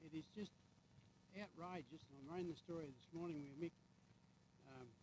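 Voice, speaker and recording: A man talks in a rural Australian accent at a moderate pace. His pitch sits fairly high. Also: ordinary pitch variation. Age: 80s+. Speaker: farmer. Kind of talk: heated debate.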